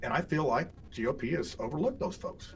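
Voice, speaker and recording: A man with an American accent speaks at a moderate pace in a somewhat breathy, fairly high voice, his pitch swinging very widely. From Indiana. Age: 60s. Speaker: political candidate. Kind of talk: interview. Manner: halting, many repeats and fillers.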